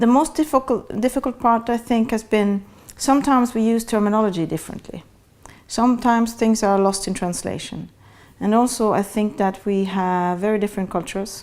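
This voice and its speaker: Speaking in a Norwegian accent, a woman keeps a medium pitch, ordinary pitch variation and a moderate pace. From Norway. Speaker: international security official. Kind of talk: interview. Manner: hesitant, with fillers.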